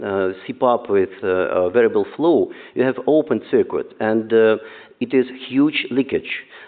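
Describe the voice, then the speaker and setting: A man at medium pitch with a Russian accent, at a very slow pace. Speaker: neonatologist. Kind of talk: conference talk. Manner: halting, many fillers.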